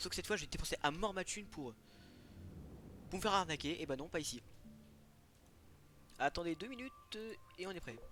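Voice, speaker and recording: A man with a high pitch and a bright, sharp tone, fairly quick with lively intonation yet broken by long, frequent pauses. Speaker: gaming YouTuber. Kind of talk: let's play commentary. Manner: fast; animated.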